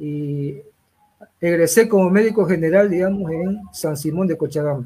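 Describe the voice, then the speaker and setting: A man talks with a normal speaking voice, pitched fairly high, at a moderate pace and with ordinary pitch variation. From Santa Cruz, Bolivia. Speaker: sports physician. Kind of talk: interview.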